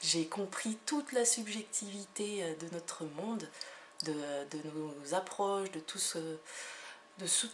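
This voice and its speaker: Noticeable noise fills the background. Over it, the woman's pitch varies in an ordinary way. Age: 30s. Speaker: energy healer and hypnotherapist. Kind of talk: self-presentation video monologue. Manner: hesitant, many fillers.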